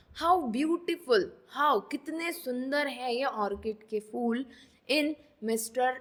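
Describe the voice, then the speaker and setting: Her intonation lively, a woman speaks in a high voice. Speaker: online exam coaching teacher. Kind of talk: tutorial. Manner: code-switching Hindi and English.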